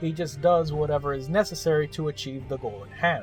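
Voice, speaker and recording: A man's fairly high voice with music in the background. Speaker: game reviewer. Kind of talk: video game review narration. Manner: sarcastic, humorous.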